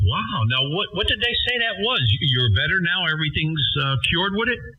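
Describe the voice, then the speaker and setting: Over noticeable background noise, a man with a high pitch keeps very even loudness while his voice makes very wide pitch swings. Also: moderate pace. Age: 60s. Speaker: ham radio operator. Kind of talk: casual chat.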